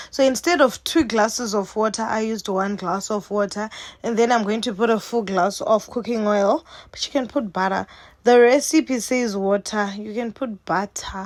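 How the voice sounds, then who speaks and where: This woman talks at a moderate pace in a Zimbabwean accent, her pitch fairly high. Her tone is animated, with ordinary pitch variation. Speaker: cooking vlogger. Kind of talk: casual cooking tutorial. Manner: chatty, animated.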